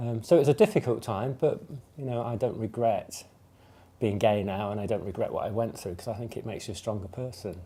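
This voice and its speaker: Over a very clean recording with a silent background, a man with an English Midlands accent speaks at a very fast pace in a medium pitch with ordinary variation, his tone dark and mellow, somewhat breathy, with big swings in loudness. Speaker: LGBT community member sharing experience. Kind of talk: testimony. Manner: hesitant, many fillers.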